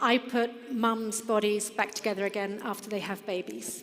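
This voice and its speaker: Over noticeable background noise and audible room echo, a woman with an English accent speaks at a fairly high pitch. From England. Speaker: fitness business founder. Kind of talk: conference presentation. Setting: stage with audience.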